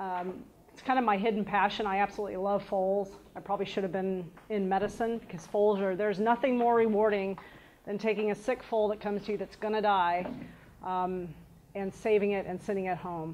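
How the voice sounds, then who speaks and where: Amid noticeable background noise, a woman talks fairly quickly in a monotone, flat intonation. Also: medium pitch for a woman. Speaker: equine veterinary surgeon. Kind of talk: lecture. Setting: stage with audience. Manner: loud.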